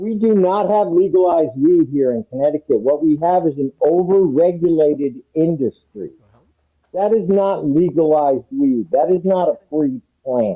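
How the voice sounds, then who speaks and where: A man talks at a moderate pace in a high voice with lively intonation. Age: 60s. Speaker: cannabis activist. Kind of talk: public forum speech. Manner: animated.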